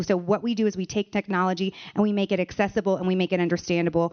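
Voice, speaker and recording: In an American accent, a woman talks at a very fast pace. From United States. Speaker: AI education founder. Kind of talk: panel discussion.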